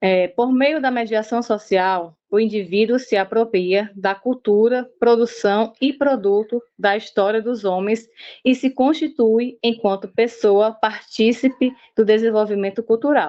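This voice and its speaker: At a fairly slow pace, a woman with an ordinary speaking voice talks at a fairly high pitch, with ordinary pitch variation and very even loudness. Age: 40s. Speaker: university student presenting group work. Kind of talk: student presentation.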